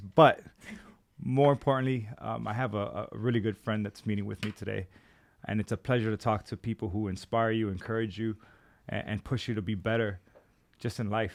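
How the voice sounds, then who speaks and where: In an unremarkable speaking voice, a man of medium pitch talks at a fairly quick pace with ordinary pitch variation. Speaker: podcast host. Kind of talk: podcast interview, casual conversation.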